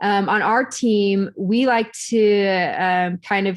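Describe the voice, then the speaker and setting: Here a woman talks at a very slow pace, her medium pitch held in fairly even intonation. The recording is very clean, with a silent background. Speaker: IT and security engineer presenting at a user group. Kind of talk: technical presentation. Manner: hesitant, many fillers.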